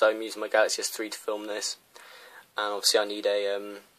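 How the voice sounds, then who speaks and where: Talking very rapidly, a man delivers his words. He has a British accent. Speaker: tech reviewer. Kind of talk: unboxing video. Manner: fast; hesitant fillers.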